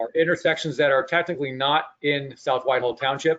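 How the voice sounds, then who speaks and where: A man with fairly high pitch speaks in fairly even intonation. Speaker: traffic engineering consultant. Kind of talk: presentation to public meeting. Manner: fast; short breaths between sentences.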